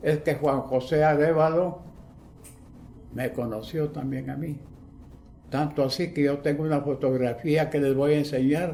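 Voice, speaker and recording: A man's dark, mellow, fairly high-pitched voice, fairly slow and with fairly even intonation, in audible room echo. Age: 80s+. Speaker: witness of historical events. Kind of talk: interview testimony.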